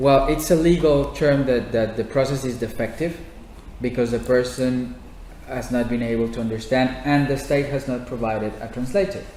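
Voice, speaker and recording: A man with a Spanish accent speaks at a medium pitch and a moderate pace. Audible room echo and noticeable background noise are present. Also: ordinary pitch variation. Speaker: housing activist. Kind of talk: audience Q&A at a public talk. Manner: halting.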